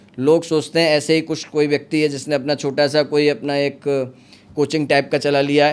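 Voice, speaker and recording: The man's fairly high-pitched voice has monotone, flat intonation. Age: 40s. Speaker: astrologer. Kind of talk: podcast interview.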